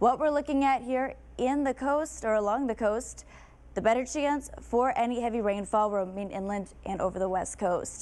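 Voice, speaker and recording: With an ordinary speaking voice, a woman talks at a moderate pace and a fairly high pitch, with ordinary pitch variation. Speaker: TV meteorologist. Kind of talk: TV weather forecast. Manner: upbeat.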